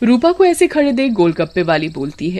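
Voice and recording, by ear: Her pitch medium and swinging widely, a woman speaks at a moderate pace in a dark, mellow tone.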